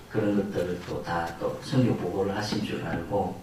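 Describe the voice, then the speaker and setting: The speaker has a strong Busan accent. Noticeable background noise and audible room echo are present. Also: man. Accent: strong Gyeongsang (Busan) dialect. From Busan, South Korea. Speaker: missionary pastor. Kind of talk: sermon. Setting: church.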